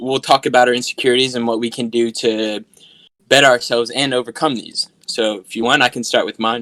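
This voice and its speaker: A man speaks with a bright, sharp tone. His pace is fairly quick. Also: dry, close sound with no echo. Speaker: podcast guest. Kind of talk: casual chat. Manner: animated.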